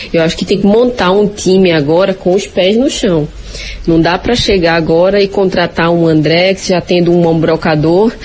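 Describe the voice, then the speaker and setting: Against noticeable background noise, the voice moves at a moderate pace with ordinary pitch variation and very even loudness. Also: woman, fairly low pitch for a woman. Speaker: football pundit. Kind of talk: sports discussion. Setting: at home in the kitchen. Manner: soft-spoken.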